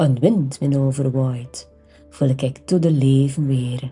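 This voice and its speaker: With music in the background, a woman with a West Flemish accent speaks in a very deep, low pitch and fairly even intonation. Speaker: language teacher. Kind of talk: poetry reading.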